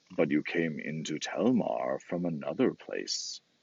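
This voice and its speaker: A man's growling, put-on character voice at a fairly slow pace. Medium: read story. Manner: solemn, commanding.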